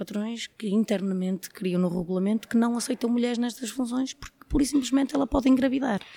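Her tone is dark and mellow. The woman's pitch varies in an ordinary way. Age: 30s. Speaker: trade unionist in footwear industry. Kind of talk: interview.

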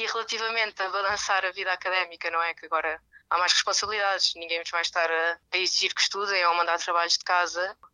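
A woman's very fast, medium-pitched voice, bright and sharp in tone, flat and monotone, dry and close with no echo against a quiet background. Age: 20s. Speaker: master's student. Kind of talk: advice to new students.

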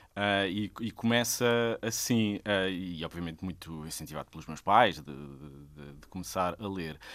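Very deep and low, a man's voice moves at a fairly slow pace with hardly any pauses, ordinary pitch variation and big swings in loudness, captured in a very clean recording with a silent background. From Sesimbra, Portugal. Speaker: theatre director and actor. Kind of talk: casual chat.

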